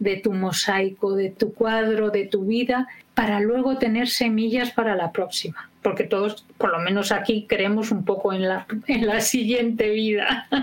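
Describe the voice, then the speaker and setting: At a fairly slow pace and with fairly even intonation, someone talks in an unremarkable speaking voice. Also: woman. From Spain. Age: 60s. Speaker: educator and biographical work trainer. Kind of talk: interview.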